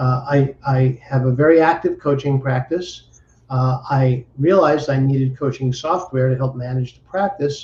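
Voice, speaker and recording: This man's voice sits fairly high in pitch and comes out somewhat breathy. He talks at a fairly slow pace with a dark, mellow tone. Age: 60s. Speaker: entrepreneur and business coach. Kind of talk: interview. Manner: halting, repeats words.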